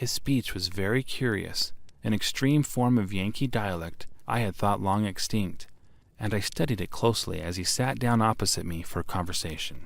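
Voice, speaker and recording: At a moderate speed, an ordinary speaking voice shows ordinary pitch variation, recorded very cleanly against a silent background. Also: man, fairly low pitch for a man. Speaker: voice actor. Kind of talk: audiobook narration.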